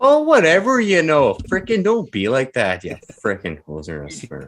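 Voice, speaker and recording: A man talks at a moderate pace in a strong Canadian accent. His loudness swings widely. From Canada. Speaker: co-host of a livestream. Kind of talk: casual chat.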